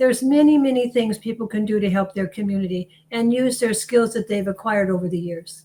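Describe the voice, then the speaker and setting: Somewhat breathy, a woman's voice has a dark, mellow tone and moves at a fairly quick pace. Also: fairly high pitch for a woman, ordinary pitch variation. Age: old. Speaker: volunteer. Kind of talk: interview.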